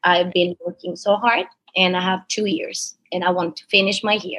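With an Italian accent, a woman speaks at a moderate pace. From Italy, Palermo. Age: 20s. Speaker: dancer. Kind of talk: casual chat.

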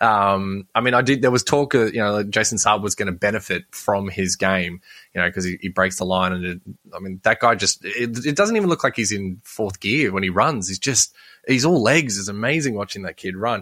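With an Australian accent, a man talks at a fairly quick pace in a fairly low pitch, his tone bright and sharp, the sound dry and close with no echo. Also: ordinary pitch variation. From Sydney, Australia. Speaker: fantasy sports podcaster. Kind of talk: casual chat.

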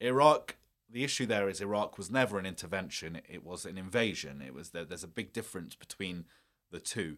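A man with a British accent and very deep, low pitch talks at a fairly quick pace with lively intonation. The recording is very clean with a silent background. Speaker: journalist and filmmaker. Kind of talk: interview. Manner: halting, many repetitions.

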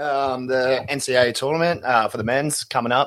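Here a man with an Australian accent talks at a moderate pace. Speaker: podcast co-host. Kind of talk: casual chat.

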